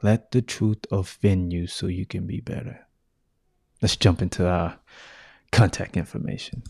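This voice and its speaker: A man with a very deep, low pitch and an American accent speaks at a moderate pace, somewhat breathy, with ordinary pitch variation and long, frequent pauses. The recording is very clean with a silent background and a dry, close sound with no echo. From US South. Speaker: podcast host. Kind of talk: solo podcast monologue. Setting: home studio with mic and video.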